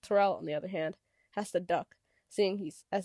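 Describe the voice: Over a quiet background, the speaker offers plain reading aloud.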